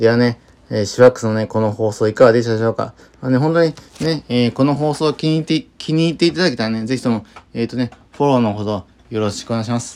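A man races along very fast at a medium pitch, with ordinary pitch variation. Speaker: solo podcaster. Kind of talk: casual monologue. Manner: halting, many fillers.

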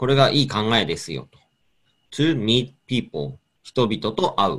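Using vocal fry and very wide pitch swings, a man speaks at a medium pitch and a fairly slow pace. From Hokkaido, Japan. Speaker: radio host. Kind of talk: radio interview chat.

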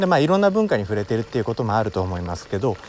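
Over noticeable background noise, a man talks. His pitch swings very widely. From Wakayama, Japan. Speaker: podcast host. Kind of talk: solo talk monologue.

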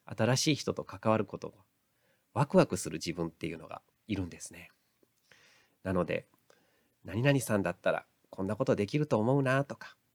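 A man's medium-pitched voice at a fairly quick pace, with long, frequent pauses and a dry, close sound with no echo. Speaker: counselor and lecturer. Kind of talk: solo audio podcast monologue. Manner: occasionally stumbling over words.

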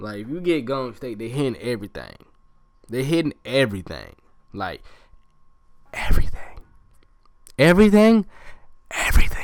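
This man's medium-pitched voice has an animated tone, very wide pitch swings and big swings in loudness, broken up by long, frequent pauses. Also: moderate pace. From US South, Georgia (Columbus). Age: 20s. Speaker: student podcaster, sports fan. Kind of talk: casual solo podcast monologue. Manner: animated, repetitive.

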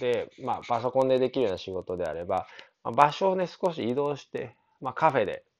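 A man's plain, everyday voice, medium in pitch, with lively intonation at a fairly quick pace. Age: 30s. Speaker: consultant. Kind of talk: solo podcast monologue. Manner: casual, filler-heavy.

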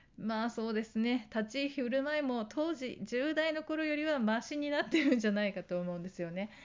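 A woman talks at a fairly quick pace with a high pitch. She leaves hardly any pauses. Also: lively intonation. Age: 40s. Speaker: lifestyle YouTuber. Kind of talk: casual monologue.

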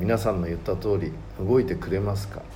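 Audible room echo surrounds the voice. Noticeable background noise is present as well. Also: man. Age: 60s. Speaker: mentor and author. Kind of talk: reading aloud. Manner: formal.

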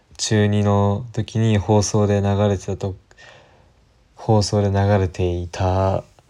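A man speaks very slowly in a fairly low, dark and mellow voice with monotone, flat intonation. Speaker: podcaster. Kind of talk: casual solo monologue. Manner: hesitant, many fillers.

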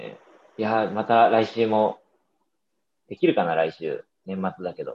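A man's voice at a fairly slow pace, with long, frequent pauses and big swings in loudness. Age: 30s. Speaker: podcast host. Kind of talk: casual chat.

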